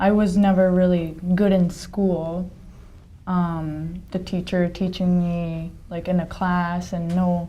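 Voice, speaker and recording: In a Japanese accent, a woman speaks fairly slowly at a fairly low pitch, her tone dark and mellow and her intonation monotone and flat, with audible room echo. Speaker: staff member of English learning site. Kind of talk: casual chat.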